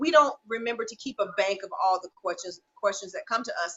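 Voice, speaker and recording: Fairly quick and full of lively intonation, a woman speaks with an American accent. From US South. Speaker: natural hair salon owner and host. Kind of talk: live-stream Q&A. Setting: salon.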